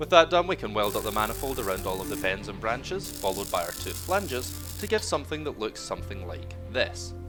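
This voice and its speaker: With music playing behind him, a man speaks very fast. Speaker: home car modifier. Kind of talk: DIY build voiceover. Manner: dry, humorous.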